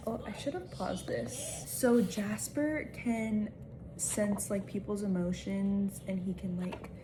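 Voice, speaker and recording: The speaker talks at a very slow pace with ordinary pitch variation, and the room echo is audible. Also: woman. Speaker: book vlogger. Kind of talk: casual vlog talk to camera. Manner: casual, filler-heavy.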